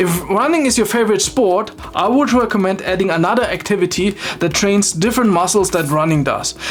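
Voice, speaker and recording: With a non-native accent, a woman talks fairly quickly at a medium pitch and with lively intonation, amid noticeable background noise and audible room echo. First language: not English. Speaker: fitness video creator. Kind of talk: explainer video with personal commentary.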